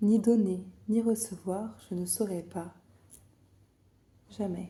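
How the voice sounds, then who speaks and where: A woman speaks at a very slow pace in a medium pitch, somewhat breathy. Her tone is dark and mellow, with fairly even intonation. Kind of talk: ASMR book reading. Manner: whispered, calm, slow, soft.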